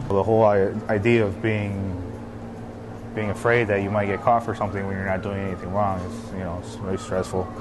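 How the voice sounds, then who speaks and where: Amid noticeable background noise and audible room echo, a man talks at a fairly quick pace in a fairly low, monotone, flat voice. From Chicago, raised from age nine; born in Colombia. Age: 20s. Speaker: small business owner and culture worker. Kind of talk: interview testimony.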